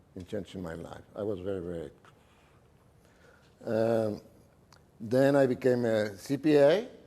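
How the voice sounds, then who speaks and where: The voice has a dark, mellow tone and a Mexican accent. Its pitch variation is ordinary. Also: man. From Mexico City. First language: Spanish. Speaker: businessman. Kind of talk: talk to an audience. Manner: halting.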